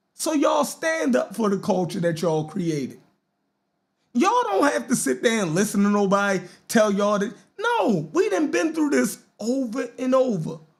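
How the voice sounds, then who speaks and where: A man speaks at a moderate pace with a Baltimore accent. His voice is high and swings very widely in pitch. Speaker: podcast host. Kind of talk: casual live-stream talk show. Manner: animated.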